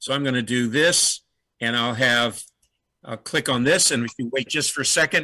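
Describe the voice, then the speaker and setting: In a very clean recording with a silent background, a man speaks at medium pitch with a bright, sharp tone. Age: 70s. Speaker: teacher and software user presenting. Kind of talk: conference presentation with screen demo. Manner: halting, many fillers.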